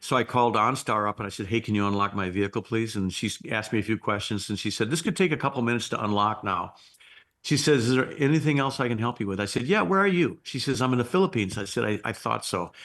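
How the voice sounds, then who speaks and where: A man's very fast, lively-toned voice at a medium pitch, over a quiet background. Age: 60s. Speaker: bow and guitar maker, entrepreneur. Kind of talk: interview conversation. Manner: animated storytelling.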